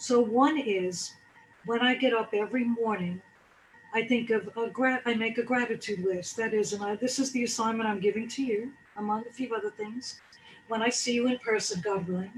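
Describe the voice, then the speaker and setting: A woman speaks at a moderate pace in a fairly high voice with fairly even intonation over noticeable background noise. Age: 60s. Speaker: wellness speaker. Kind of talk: motivational talk.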